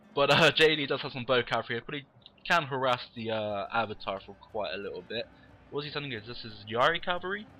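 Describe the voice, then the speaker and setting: A man talks at a very fast pace with lively intonation and a medium pitch. His loudness swings widely, and music plays in the background. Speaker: game commentator. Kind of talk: live commentary. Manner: animated.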